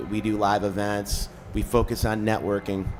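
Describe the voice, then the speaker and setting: The speaker talks in a Chicago accent with music playing in the background. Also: man. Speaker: cannabis media company founder. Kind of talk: interview. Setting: live event.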